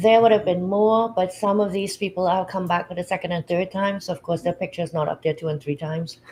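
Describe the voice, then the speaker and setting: Somewhat breathy at a medium pitch, a woman talks at a very fast pace with hardly any pauses and fairly even intonation. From Trinidad and Tobago. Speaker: publisher and anthology founder. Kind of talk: livestream interview.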